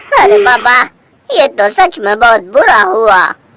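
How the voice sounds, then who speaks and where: A female-sounding, cartoonish character voice at a fairly high pitch for a woman moves along at a moderate pace. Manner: blunt, colloquial.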